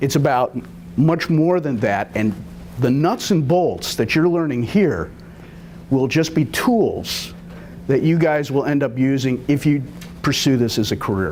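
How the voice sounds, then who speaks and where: A man's fairly high voice at a fairly slow pace, lively in intonation and very even in loudness, with long, frequent pauses, audible room echo and noticeable background noise. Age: 60s. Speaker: TV cinematographer and producer giving a talk. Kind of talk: lecture.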